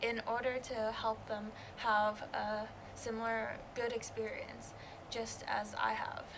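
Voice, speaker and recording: A woman's voice is heard amid audible room echo and noticeable background noise. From Canada. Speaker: student election candidate. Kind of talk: interview.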